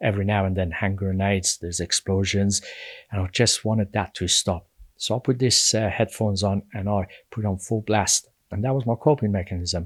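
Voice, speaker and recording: Somewhat breathy and fairly low, a man talks at a fairly quick pace with fairly even intonation, in a dry, close sound with no echo on a very clean recording with a silent background. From Iran. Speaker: social advocate. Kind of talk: interview testimony. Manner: halting, with repetitions.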